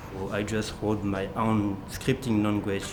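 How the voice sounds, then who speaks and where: Over music in the background and audible room echo, a man with a French accent speaks in a fairly low voice. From France. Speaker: model railroad volunteer, automation maintainer. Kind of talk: documentary interview.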